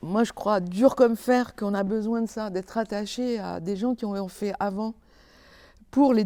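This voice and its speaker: Recorded very cleanly against a silent background, a woman speaks at a fairly slow pace in a dark, mellow tone. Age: 60s. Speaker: theatre lighting designer and director. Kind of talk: interview. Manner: halting, many hesitations.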